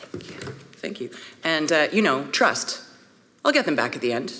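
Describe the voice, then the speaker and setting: With a Vancouver accent, a woman talks in a very deep, low pitch and lively intonation, with audible room echo and noticeable background noise. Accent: Canadian, Vancouver. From Canada, Vancouver, British Columbia. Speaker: priest and art historian. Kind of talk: conference talk. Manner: conversational, with fillers.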